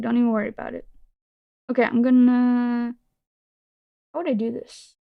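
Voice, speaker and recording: A woman with a non-native accent speaks in a high pitch with a dark, mellow tone. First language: not English. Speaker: vtuber streamer. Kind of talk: casual live-stream chat. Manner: animated.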